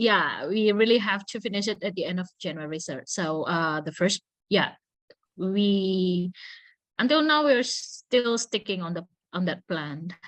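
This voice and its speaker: With an Indonesian accent, a woman speaks at a fairly slow pace in a medium pitch, her intonation lively against a quiet background. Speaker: student. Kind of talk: casual chat. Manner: halting.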